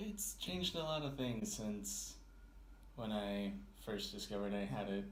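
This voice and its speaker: A soft-spoken man talks at a moderate pace with ordinary pitch variation. Noticeable background noise and audible room echo fill the recording. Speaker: interviewee with hearing loss. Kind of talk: personal testimony.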